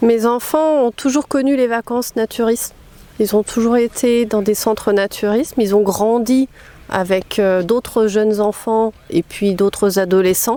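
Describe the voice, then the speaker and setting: This woman talks at a fairly high pitch and a fairly slow pace with ordinary pitch variation, her sound dry and close with no echo but with noticeable background noise. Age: 50s. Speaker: naturism ambassador for women. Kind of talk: interview testimony. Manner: hesitant, many fillers.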